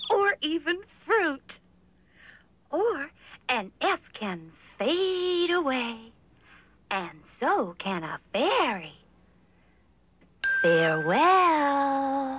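A cartoonish character voice moves at a very slow pace, broken by long, frequent pauses. Its pitch swings very widely. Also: female-sounding voice, high pitch for a woman. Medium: puppet show. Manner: whimsical, airy.

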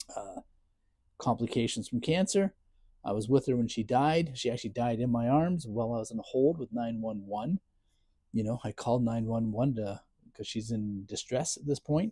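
A man with a dark, mellow tone speaks at a medium pitch and a moderate pace, with ordinary pitch variation. He leaves long, frequent pauses against a quiet background. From Ontario, Canada. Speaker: content creator; full-time caregiver. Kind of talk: casual vlog chat, personal update. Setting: home, self-filmed video. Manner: sarcastic, self-deprecating; venting, frustrated, emotional. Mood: grieving, frustrated, ranting. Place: garage. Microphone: lapel.

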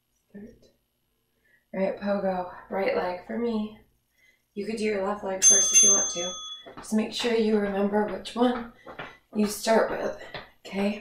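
The speaker goes at a fairly slow pace with fairly even intonation and long, frequent pauses. Audible room echo and light background noise are present. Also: woman. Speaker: fitness instructor. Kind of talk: workout instruction. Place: home room. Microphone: camera far.

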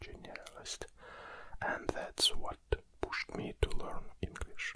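The voice is a man's whisper. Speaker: ASMR creator. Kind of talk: ASMR close whispering, personal introduction. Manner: whispered. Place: studio. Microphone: studio mic.

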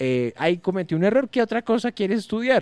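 Talking at a fairly quick pace, a man makes very wide pitch swings in a dry, close sound with no echo. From Colombia. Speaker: stand-up comedian. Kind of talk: casual chat.

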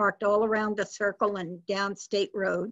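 Over a quiet background, a woman with an American accent talks at a moderate pace. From Massachusetts, New England. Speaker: interviewee. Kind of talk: oral history interview. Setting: video call. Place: home room. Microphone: webcam.

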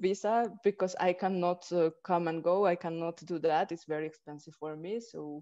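A woman's dark, mellow voice with a Peruvian accent, ordinary pitch variation, and a quiet background. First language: Spanish. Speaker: Odissi dancer. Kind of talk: interview answer. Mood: warm, smiling storytelling. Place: home room. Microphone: video call.

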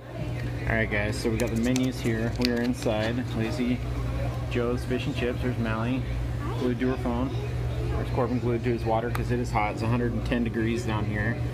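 Clear music fills the background. Over it, a man speaks at a moderate pace. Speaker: food vlogger. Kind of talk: casual vlog chat. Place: cafe. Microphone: phone near.

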